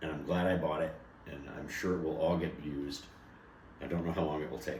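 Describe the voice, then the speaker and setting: Speaking at a fairly quick pace with fairly even intonation, a man's very deep, low voice carries audible room echo. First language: not English. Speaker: bourbon tasting co-host. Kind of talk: casual chat. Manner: halting, self-correcting.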